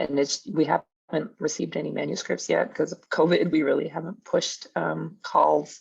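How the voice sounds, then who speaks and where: A woman in a Canadian accent talks at a moderate pace with hardly any pauses. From Canada. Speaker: professor. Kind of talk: panel discussion.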